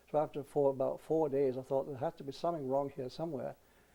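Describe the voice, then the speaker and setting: With a dark, mellow tone, this man talks at a very fast pace and a fairly high pitch. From Britain. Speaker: war veteran. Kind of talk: oral history interview. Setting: museum.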